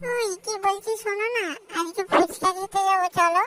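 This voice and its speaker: A woman's cartoonish character voice, extremely high in pitch, raised and projected, at a moderate pace with fairly even intonation and a dry, close sound with no echo. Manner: scolding.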